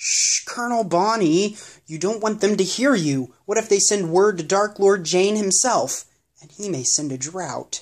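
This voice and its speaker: At a middle pitch, a put-on character voice moves along at a moderate pace. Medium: read story.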